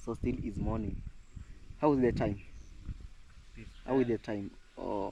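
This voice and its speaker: A man speaks at a moderate pace in a dark, mellow tone. His intonation is fairly even, broken by long, frequent pauses. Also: medium pitch for a man. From Kenya. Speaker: village vlogger. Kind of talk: casual vlog narration.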